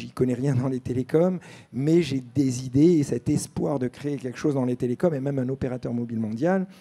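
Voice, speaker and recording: At a fairly quick pace, a man with a dark, mellow tone speaks with ordinary pitch variation. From France, born in Algeria; France. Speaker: entrepreneur and former extreme athlete; panelist. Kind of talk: panel discussion. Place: stage. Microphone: handheld.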